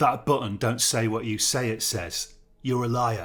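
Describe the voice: Someone reads aloud in a plain way.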